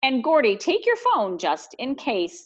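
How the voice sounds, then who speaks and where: Using a put-on character voice, a woman speaks high and fairly slowly. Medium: read story. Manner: gently nagging.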